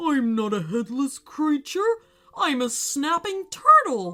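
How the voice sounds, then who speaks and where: A female-sounding voice does a put-on character voice at a high pitch. She goes at a fairly slow pace with very wide pitch swings. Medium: read story.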